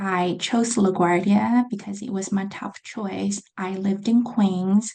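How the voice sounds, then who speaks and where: A woman speaks at a very slow pace and medium pitch. Her intonation is monotone and flat. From China. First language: Chinese. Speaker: accounting graduate student. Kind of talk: interview.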